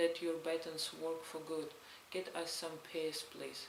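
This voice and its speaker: Over noticeable background noise, a woman with a Belarusian accent speaks fairly slowly at a fairly low pitch. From Belarus, Stolin. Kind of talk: read story, testimony narration.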